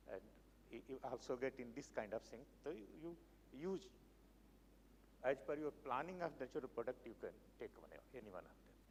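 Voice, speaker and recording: A man with a fairly high pitch speaks at a moderate pace with ordinary pitch variation. Vocal fry runs through his voice. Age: 70s. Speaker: research chemist. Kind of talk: lecture. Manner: halting.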